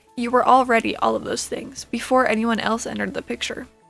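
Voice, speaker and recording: The speech moves at a fairly quick pace over music in the background. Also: woman. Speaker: ASMR roleplay creator. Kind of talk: ASMR comfort roleplay. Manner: soft-spoken, reassuring.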